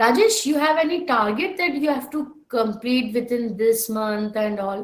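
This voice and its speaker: The speaker has an Indian accent. The intonation is lively. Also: woman, high pitch for a woman. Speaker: software trainer. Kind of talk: online class lecture. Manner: slow-paced.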